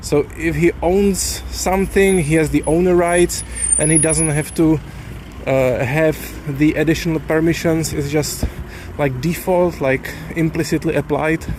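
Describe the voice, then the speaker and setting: Noticeable background noise sits behind a man with a Czech accent. He speaks at a fairly slow pace and a fairly high pitch. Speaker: software developer. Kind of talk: casual vlog monologue. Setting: outdoors, walking. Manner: halting.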